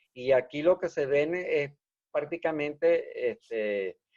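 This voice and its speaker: In a dry, close sound with no echo, a man speaks at a very slow pace and fairly high pitch with lively intonation. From Venezuela, rural village. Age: 60s. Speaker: engineer. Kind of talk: interview. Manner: animated.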